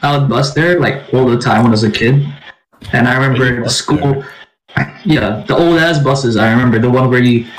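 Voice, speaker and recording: Music plays behind a man who speaks at a fairly quick pace and a medium pitch, with very even loudness and ordinary pitch variation. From Philippines. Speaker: podcast co-host. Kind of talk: casual chat.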